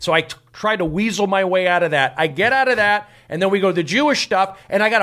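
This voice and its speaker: A man with an American accent projects a raised voice with a bright, sharp tone. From US, Los Angeles (San Fernando Valley). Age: 40s. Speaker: comedian. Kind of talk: casual chat.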